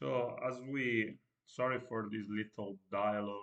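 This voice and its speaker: A man speaks with a non-native accent and a fairly low pitch. His intonation stays fairly even. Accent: non-native English pronunciation. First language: Italian. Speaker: streamer. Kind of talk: casual live-stream monologue. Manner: halting, stutters a lot; hesitant with many fillers. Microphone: no microphone, built-in computer audio.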